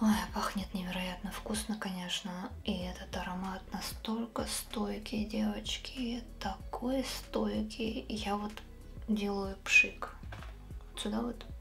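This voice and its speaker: A woman talks very slowly while music plays faintly behind her. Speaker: beauty vlogger. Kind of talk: casual vlog chat. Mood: enthusiastic about perfume. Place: home room. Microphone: phone near.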